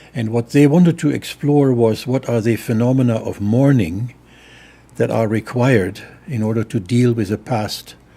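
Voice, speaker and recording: Dark, mellow tone from a man at medium pitch, moderate pace and ordinary pitch variation. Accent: German. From Germany. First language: German. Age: 80s+. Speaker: theologian. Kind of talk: interview. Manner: halting.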